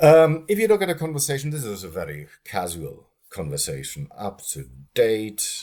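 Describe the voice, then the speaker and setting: Speaking at a very slow pace with a German accent, a man swings his pitch very widely. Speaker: linguistics lecturer. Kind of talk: lecture. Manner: animated; halting.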